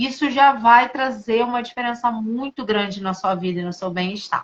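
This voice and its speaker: Her voice is fairly high in pitch. The woman talks at a moderate pace. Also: ordinary pitch variation. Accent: Rio de Janeiro. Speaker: integrative therapist. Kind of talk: casual chat.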